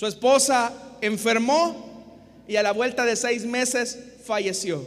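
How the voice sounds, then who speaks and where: Over noticeable background noise, a man with a Salvadoran accent speaks in a high pitch. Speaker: pastor. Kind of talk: sermon, expository preaching to a congregation and radio listeners. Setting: church with live congregation, also broadcast on radio. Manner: earnest, didactic, rhetorical; repeats 'hermanos y hermanas' and pleads with the audience.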